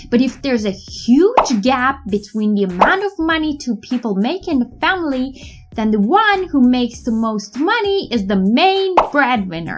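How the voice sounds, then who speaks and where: A woman with a non-native accent speaks in a high voice at a moderate pace, with very wide pitch swings and hardly any pauses. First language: not English. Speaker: English teacher. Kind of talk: tutorial.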